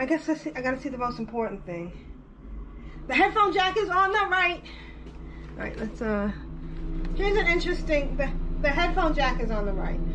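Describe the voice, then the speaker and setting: A woman's raised, projected voice, high in pitch with very wide pitch swings, at a fairly quick pace with long, frequent pauses, plus audible room echo and noticeable background noise. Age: 60s. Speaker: podcast host. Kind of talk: unboxing monologue. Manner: animated.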